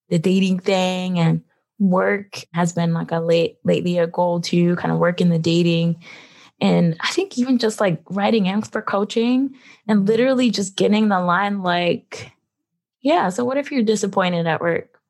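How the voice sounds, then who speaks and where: Using an ordinary speaking voice, a woman with an American accent speaks at a moderate pace, with fairly low pitch, ordinary pitch variation and very even loudness. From Philadelphia, US. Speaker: physician and medical school teacher. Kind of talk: casual interview.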